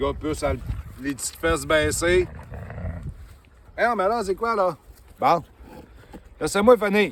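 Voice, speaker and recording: Amid noticeable background noise, a man speaks at a fairly slow pace with long, frequent pauses and big swings in loudness. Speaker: dog trainer. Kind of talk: casual vlog talk. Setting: outdoors on a trail with dogs.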